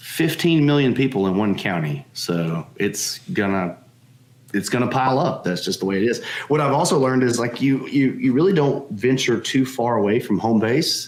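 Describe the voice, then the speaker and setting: A man with a medium pitch and lively intonation speaks over noticeable background noise. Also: very even loudness. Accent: slight Southern US. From Alabama, Tuscaloosa. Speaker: board game publisher. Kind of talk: casual interview chat.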